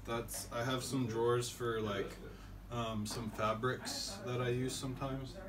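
Speaking at a fairly slow pace, a man keeps his medium-pitched voice within little pitch movement.

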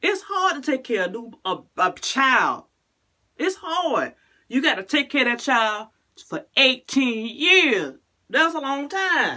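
Against a quiet background, a woman projects a raised, bright, sharp voice very slowly, with very wide pitch swings and long, frequent pauses. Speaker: vlogger. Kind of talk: casual vlog chat. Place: bathroom. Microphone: phone near.

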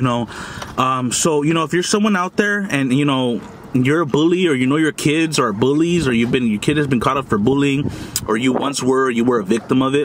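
A man speaks at a fairly quick pace with ordinary pitch variation and very even loudness over light background noise. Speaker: food vlogger. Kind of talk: casual vlog chat. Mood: earnest, lecturing about bullying. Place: car. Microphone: phone near.

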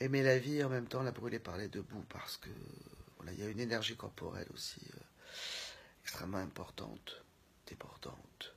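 Whispering at a fairly quick pace, a woman's voice shows big swings in loudness. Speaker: speaker. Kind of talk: casual reflective monologue. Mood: thoughtful, calm. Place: home room. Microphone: phone near.

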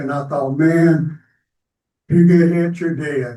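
A man's fairly high voice in an American accent, with a dark, mellow tone and monotone, flat intonation. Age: 70s. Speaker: resident speaking at city council public comment. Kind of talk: public comment at council meeting. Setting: city council chamber. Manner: halting, many fillers.

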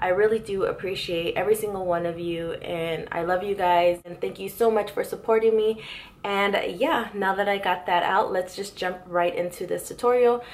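The pace is fairly quick. The intonation stays fairly even. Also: woman. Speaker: beauty vlogger. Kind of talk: casual vlog chat and makeup tutorial. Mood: warm, grateful. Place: home room. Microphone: camera far.

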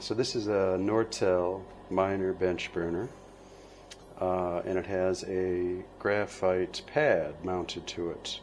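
Over light background noise, a man with an American accent speaks in a very deep, low voice at a very slow pace. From United States. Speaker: glass bead maker and instructor. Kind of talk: tutorial. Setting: studio at the torch. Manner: halting, many fillers. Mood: playful, relaxed. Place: workshop.

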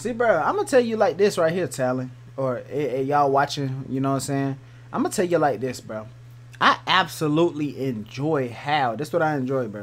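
The voice moves at a fairly quick pace with lively intonation. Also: man. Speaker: streamer reacting to music. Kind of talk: casual reaction commentary.

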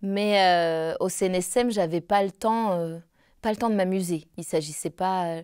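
With a dark, mellow tone at medium pitch, a woman speaks fairly slowly and with fairly even intonation against a quiet background. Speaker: opera singer; interviewee. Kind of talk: interview. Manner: halting. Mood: calm, reflective. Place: home room.

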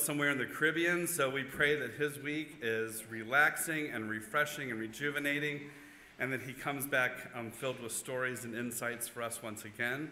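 A man talks at a fairly quick pace with fairly even intonation, over light background noise and with audible room echo. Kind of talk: welcome announcement and prayer. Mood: warm, lightly humorous. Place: church. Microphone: podium.

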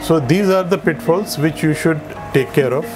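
Speech at a moderate pace with ordinary pitch variation, set against noticeable background noise. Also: man. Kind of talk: explanatory talk to camera. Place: shop. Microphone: lapel.

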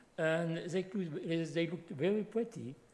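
The man's voice comes across as somewhat breathy. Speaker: speaker. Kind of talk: lecture. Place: hall. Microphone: podium.

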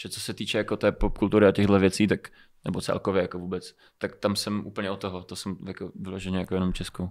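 Monotone and flat, a man with a fairly low pitch talks at a very fast pace. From Moldova, raised in Czech Republic from age 4. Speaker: rapper and singer; podcast guest. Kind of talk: casual interview. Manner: hesitant, filler-heavy. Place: studio. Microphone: studio mic.

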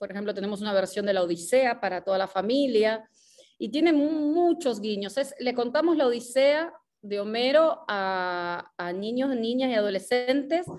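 At a moderate pace, a woman speaks in a fairly high voice with lively intonation over a quiet background. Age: 40s. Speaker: actress and theatre director; actress. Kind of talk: interview conversation. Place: home room. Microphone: video call.

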